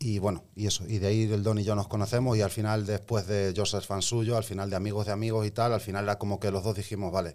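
A man's fairly low voice at a very fast pace, flat and monotone, with very even loudness. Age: 30s. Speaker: rapper. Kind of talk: casual chat.

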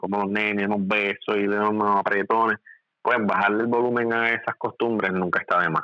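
A man speaks at a fairly quick pace in a bright, sharp tone, his pitch fairly low. His intonation is fairly even, and the sound is dry and close with no echo. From Puerto Rico, Ponce. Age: 40s. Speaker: medical doctor. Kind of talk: casual interview.

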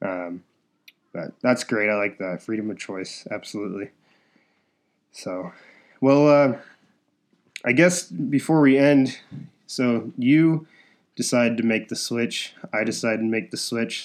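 A man speaks at a fairly slow pace and medium pitch, with lively intonation. Long, frequent pauses break up his speech. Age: 20s. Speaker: podcast host. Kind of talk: casual chat.

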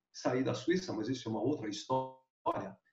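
The man's voice is somewhat breathy. It sits at a medium pitch. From Brazil, Bauru (São Paulo state). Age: 70s. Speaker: glider pilot, eight-time national champion. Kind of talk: interview, storytelling.

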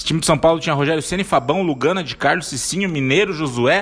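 A man speaks at a very fast pace in a fairly high pitch with ordinary pitch variation. Noticeable background noise runs underneath. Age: 30s. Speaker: podcast host and debate moderator. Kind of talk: casual debate chat.

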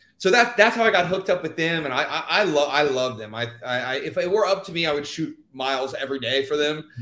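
A man with an American accent talks at a very fast pace and a fairly high pitch. His intonation is lively and his loudness swings a lot. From Texas, Houston. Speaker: dancer and actor. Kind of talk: casual interview. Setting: live stream.

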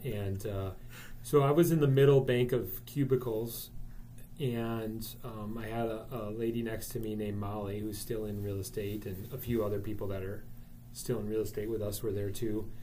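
There is audible room echo as a man speaks with an American accent at a fairly low pitch. His tone is dark and mellow, and somewhat breathy. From Wisconsin, US Midwest. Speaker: real estate broker. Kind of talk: casual interview.

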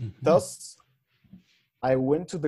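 This man speaks with a French accent and a fairly high pitch. His tone is dark and mellow. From France. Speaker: master's student and amateur rugby player. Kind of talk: interview.

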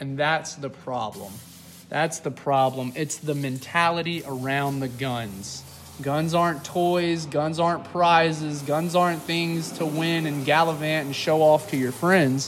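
With a Southern US accent, a man speaks at a fairly slow pace in a fairly high pitch and fairly even intonation, with audible room echo around him. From Mississippi (Starkville). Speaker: podcast co-host. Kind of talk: casual chat. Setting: garage.

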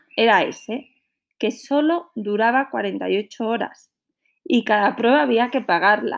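A woman at a very slow pace, fairly high in pitch, with vocal fry and lively intonation. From northern Spain, Santander. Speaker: podcaster, mother. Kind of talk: personal storytelling.

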